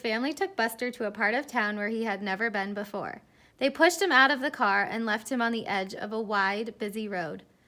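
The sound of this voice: An unforced reading voice, pitch moving in an ordinary way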